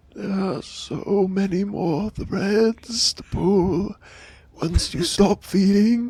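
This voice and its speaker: A female-sounding, put-on character voice of medium pitch speaks at a very slow pace. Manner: creepy, menacing.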